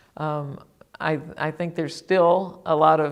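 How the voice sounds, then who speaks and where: The speech moves at a very slow pace. Vocal fry runs through the voice. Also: woman. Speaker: former state legislator, advocate. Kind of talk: interview. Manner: halting, many fillers.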